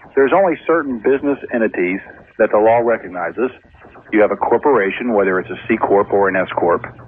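Noticeable background noise sits under a man talking at a very fast pace. His medium-pitched voice has lively intonation. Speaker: accountant. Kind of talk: phone-in call. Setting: in a car.

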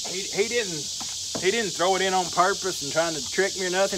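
A man talks over noticeable background noise. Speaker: firewood seller. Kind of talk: casual vlog chat. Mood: relaxed, easygoing. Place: forest. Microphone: camera far.

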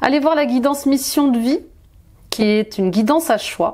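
Her tone dark and mellow, a woman speaks at a moderate pace with lively intonation. Light background noise is present. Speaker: tarot reader, life coach. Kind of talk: promotional talk in a tarot reading video. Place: home room.

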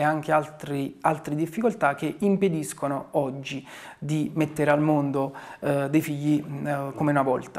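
Using fairly even intonation, a man talks at a fairly high pitch. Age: 40s. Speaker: town mayor. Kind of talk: interview. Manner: hesitant, with frequent fillers. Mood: calm, reflective. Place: office.

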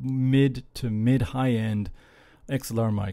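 Speaking over a quiet background, a man talks. His tone is dark and mellow. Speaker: gear reviewer. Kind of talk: casual vlog chat. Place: home room. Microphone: studio mic.

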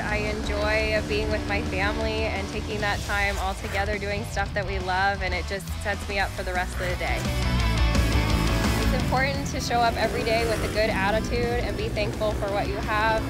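Loud music plays in the background while a woman speaks at a moderate pace, the sound dry with no echo. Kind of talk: interview answer. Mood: warm, upbeat. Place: garage.

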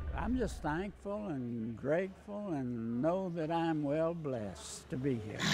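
In a Southern US accent, the speaker talks at a very slow pace with very wide pitch swings over light background noise. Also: man, fairly high pitch for a man. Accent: Southern American. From Winston-Salem, North Carolina. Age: 80s+. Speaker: retired golfer. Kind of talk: interview answer. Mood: warm, grateful. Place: gym. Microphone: lapel.

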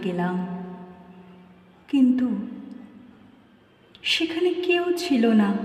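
High-pitched woman's voice over noticeable background noise. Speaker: reciter. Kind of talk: poetry reading.

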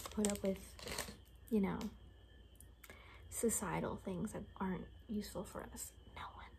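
A soft-spoken woman talks at a moderate pace. Noticeable background noise runs underneath. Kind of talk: role-play monologue to the viewer. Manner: soft-spoken ASMR murmur. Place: home room. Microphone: phone near.

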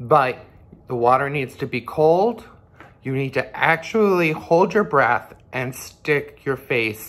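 The man's speech is very slow. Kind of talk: tutorial. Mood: calm, reassuring. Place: home room. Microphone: phone near.

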